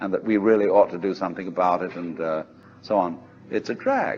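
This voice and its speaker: A man with a British accent, at a moderate pace. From England, outside London. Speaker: philosopher and lecturer. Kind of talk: recorded philosophy lecture.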